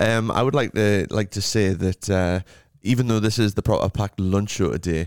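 On a very clean recording with a silent background, a man with an unremarkable speaking voice talks at a moderate pace, his fairly low pitch showing ordinary variation in a dry, close sound with no echo. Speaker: radio host. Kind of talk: radio DJ patter: cheery festive show intros, song cues and banter with a co-host. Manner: upbeat, chatty, bantering, playful; brisk presenter-style links.

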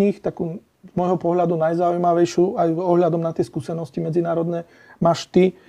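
With a Slovak accent, this man talks at a fairly quick pace in a high-pitched voice with a dark, mellow tone. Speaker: podcast host. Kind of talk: casual interview.

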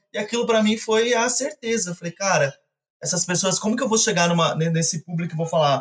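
A high-pitched man at a fairly quick pace with ordinary pitch variation, music playing in the background. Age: 30s. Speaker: animal rescuer. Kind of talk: casual chat.

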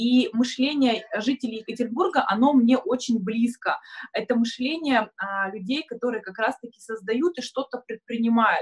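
The sound is dry and close with no echo as a woman speaks at a moderate pace with ordinary pitch variation. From Kurgan region, Russia. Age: 30s. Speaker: marketing agency owner and blogger. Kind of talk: live online discussion. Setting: video call.

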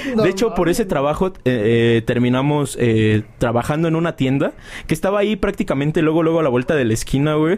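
A man's very fast, fairly high-pitched speech with lively intonation. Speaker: podcast host. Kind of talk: casual chat. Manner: animated.

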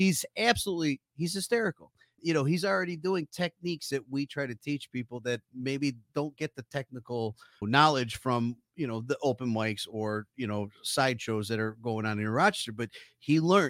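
A man talks in an ordinary speaking voice at a medium pitch, with lively intonation and a fairly quick pace. The sound is dry and close with no echo, on a very clean recording with a silent background. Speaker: comedy club co-founder and contest judge. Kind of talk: casual chat. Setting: studio.

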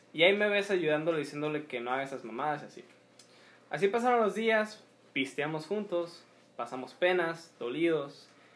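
A man with a plain, everyday voice speaks at a fairly high pitch and a moderate pace, with lively intonation and big swings in loudness. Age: 20s. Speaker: podcast co-host. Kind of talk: casual chat.

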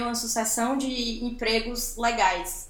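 A woman's high-pitched voice moves along at a very slow pace. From Ceará, Brazil. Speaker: advertising professional and podcaster. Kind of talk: casual chat.

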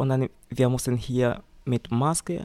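A man speaks at medium pitch. The recording is very clean, with a silent background. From Tanzania. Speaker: volunteer nursing assistant. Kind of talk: interview. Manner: halting.

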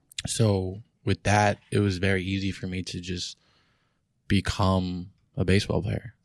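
In a New York accent, a man talks in a very deep, low pitch with monotone, flat intonation at a fairly slow pace, leaving long, frequent pauses. The recording is very clean, with a silent background and a dry, close sound with no echo. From New York City, Queens. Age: 20s. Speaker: professional poker player. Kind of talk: casual interview. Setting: studio.

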